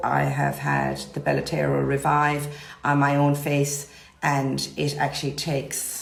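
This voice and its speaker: A woman with a Cork accent is heard with audible room echo and noticeable background noise. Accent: Irish (Cork). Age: 50s. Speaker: nurse and cosmetic injector. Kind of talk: informal talk to camera about services. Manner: casual, hesitant with many fillers.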